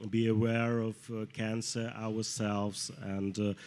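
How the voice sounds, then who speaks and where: In a Russian accent, a man with a fairly low pitch speaks very slowly in a flat monotone. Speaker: clinical pharmacologist. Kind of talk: panel discussion. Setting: studio with live audience. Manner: halting, many hesitations.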